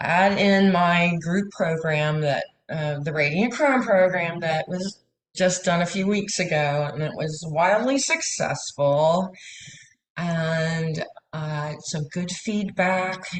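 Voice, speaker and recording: A woman speaks at a very slow pace with a fairly low pitch and ordinary pitch variation. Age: 60s. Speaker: massage therapist and coach. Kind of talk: coaching session.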